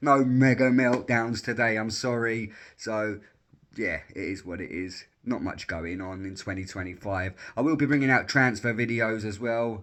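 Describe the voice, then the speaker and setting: Speaking at a moderate pace in an English accent, a man uses a medium pitch and ordinary pitch variation. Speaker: sports reaction youtuber. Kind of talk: casual vlog monologue.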